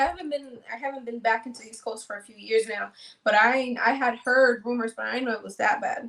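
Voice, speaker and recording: A woman speaks at a fairly quick pace with a New York accent. Her voice sits high in pitch. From New York City (Manhattan), Dominican-born. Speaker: content creator. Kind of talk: casual interview. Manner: fast.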